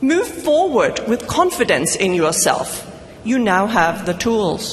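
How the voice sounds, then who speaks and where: Over noticeable background noise, a woman with a non-native accent and fairly high pitch speaks at a fairly slow pace with very wide pitch swings. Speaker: commencement speaker. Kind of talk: commencement speech. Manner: formal.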